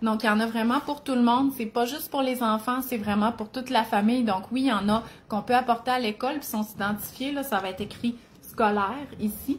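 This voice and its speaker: A woman's fairly high voice with fairly even intonation at a fairly quick pace, on a very clean recording with a silent background. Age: 40s. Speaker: cookbook author and nutrition content creator. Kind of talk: live video chat. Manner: casual, filler-heavy.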